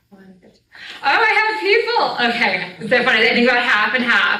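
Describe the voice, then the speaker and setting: A woman with an American accent speaks, and the room echo is audible. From New Jersey, US. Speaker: storyteller and spiritual teacher. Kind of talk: lecture. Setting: live event with audience. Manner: casual, filler-heavy.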